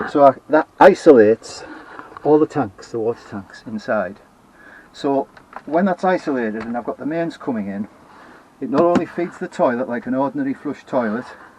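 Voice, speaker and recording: Against noticeable background noise, a man with a Teesside accent talks at a fairly quick pace with lively intonation and big swings in loudness, in a dry, close sound with no echo. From northern England. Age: 70s. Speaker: retired DIY vlogger. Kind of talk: casual video tour. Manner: halting, with many fillers.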